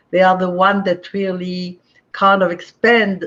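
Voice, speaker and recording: A woman speaks with a French accent at a fairly slow pace. Her pitch sits fairly low. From France, Marseille. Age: 80s+. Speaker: spiritual teacher. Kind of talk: online talk. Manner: halting with fillers.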